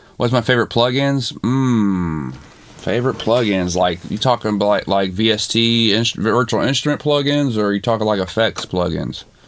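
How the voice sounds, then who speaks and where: Pitch varies in an ordinary way. Noticeable background noise runs through the clip. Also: man, medium pitch for a man, moderate pace. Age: 40s. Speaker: music producer and streamer. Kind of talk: live stream chat answering viewer questions. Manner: casual, halting with fillers.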